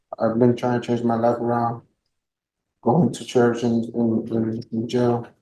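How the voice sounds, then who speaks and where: With a Spanish accent, a man speaks at a medium pitch in a dark, mellow tone. His pace is fairly slow and his intonation monotone and flat. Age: 20s. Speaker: defendant. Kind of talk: court testimony. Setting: courtroom. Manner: quiet; halting.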